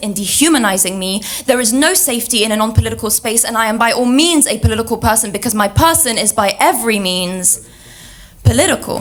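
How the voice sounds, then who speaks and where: Over music in the background, the speaker talks at a very fast pace with ordinary pitch variation. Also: woman. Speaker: spoken word poet. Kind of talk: spoken word poetry performance. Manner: rhythmic.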